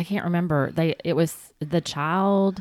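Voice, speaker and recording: In a Southern US accent, a woman speaks at a fairly low pitch. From US South. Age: 50s. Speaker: podcast host. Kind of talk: casual chat.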